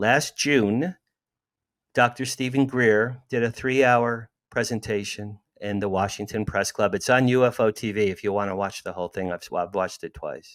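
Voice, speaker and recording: Speaking at a moderate pace in an American accent, a man uses a medium pitch with ordinary pitch variation, recorded dry and close with no echo. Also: very clean recording, silent background. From New Jersey, near Asbury Park. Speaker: author and entertainment publicist. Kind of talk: casual chat. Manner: animated.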